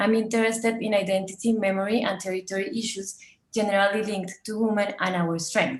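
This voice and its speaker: At a fairly quick pace, a woman speaks with a Colombian accent. Her medium-pitched delivery is monotone and flat. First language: Spanish. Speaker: documentary photographer. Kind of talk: presentation talk, partly read. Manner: partly reading aloud, with hesitations.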